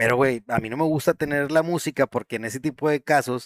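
A man speaks with a Mexican accent at a moderate pace and with ordinary pitch variation. The recording is very clean, with a silent background and a dry, close sound with no echo. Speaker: gaming podcast host. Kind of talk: casual chat.

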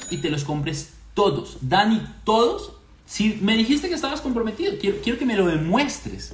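A man speaks at a moderate pace in an animated tone, high-pitched and with very wide pitch swings. Noticeable background noise and audible room echo fill the recording. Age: 30s. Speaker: finance podcast host. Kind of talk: casual monologue.

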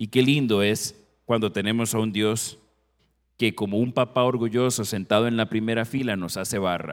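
The recording is very clean, with a silent background. A man with an ordinary speaking voice talks at a medium pitch and moderate pace, with fairly even intonation. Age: 50s. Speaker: family counselor and guest preacher. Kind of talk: sermon. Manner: formal.

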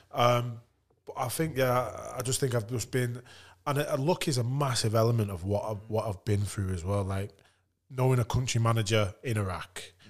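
On a very clean recording with a silent background, a man speaks in a somewhat breathy voice with a northern English accent. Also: medium pitch for a man, ordinary pitch variation, moderate pace. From northern England. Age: 30s. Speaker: retired rugby league player. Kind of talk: casual chat.

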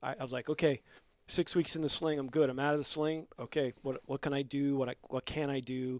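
A man with an American accent talks at a fairly quick pace in a fairly high, monotone voice with flat intonation. The recording is very clean, with a silent background and a dry, close sound with no echo. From New York (Bronx, Long Island). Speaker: gym member, military veteran. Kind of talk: casual chat.

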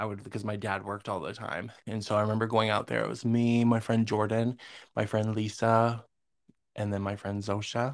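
A man with an American accent, at a fairly low pitch, in monotone, flat intonation, on a very clean recording with a silent background. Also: moderate pace. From Northern New York. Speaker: podcast co-host. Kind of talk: casual chat.

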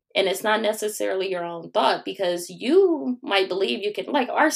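At a moderate pace and medium pitch, a woman talks with hardly any pauses, very wide pitch swings and vocal fry. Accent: American. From Cleveland, Ohio. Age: 30s. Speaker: college and career consultant. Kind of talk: interview.

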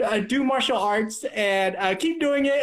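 American-accented speech comes from a man. He delivers it with lively intonation. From US Midwest. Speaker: chiropractor and martial artist. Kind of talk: casual interview chat. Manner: halting, many repetitions and fillers.

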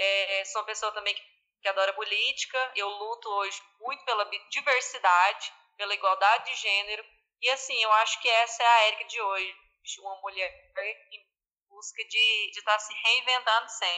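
A woman talks at a moderate pace in a fairly high pitch with a bright, sharp tone. Her intonation stays fairly even, though her loudness swings widely. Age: 20s. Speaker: finance manager at an agricultural cooperative. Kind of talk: casual interview.

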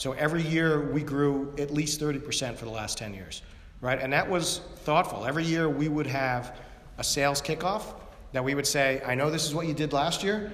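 Audible room echo around a man's fairly high voice, moderate in pace, ordinary in pitch variation. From Long Island, New York. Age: 50s. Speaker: tech entrepreneur. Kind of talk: onstage interview.

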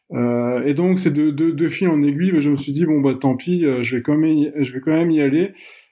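Hardly pausing, a man talks at a fairly quick pace in a dark, mellow tone, with a fairly high pitch and fairly even intonation. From Belgium. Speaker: barefoot runner. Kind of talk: casual chat.

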